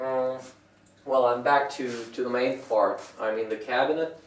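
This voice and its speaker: Audible room echo and noticeable background noise accompany a man whose voice sits at a medium pitch. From France. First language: French. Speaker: woodworker. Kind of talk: tutorial. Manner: halting.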